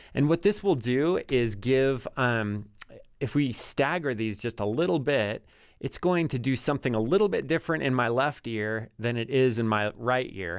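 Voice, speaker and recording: A man speaks in a plain, everyday voice at a medium pitch and moderate pace. His intonation is lively, on a very clean recording with a silent background. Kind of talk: audio tutorial talk to camera. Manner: casual.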